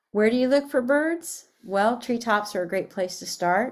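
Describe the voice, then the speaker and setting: Her intonation is lively, her pace moderate. This woman has an ordinary speaking voice. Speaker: education coordinator. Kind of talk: webinar presentation. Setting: online webinar.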